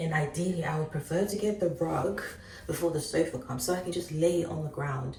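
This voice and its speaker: There is audible room echo as a woman talks at a fairly quick pace. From Ghana. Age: 20s. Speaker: vlogger. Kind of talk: casual vlog chat. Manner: animated.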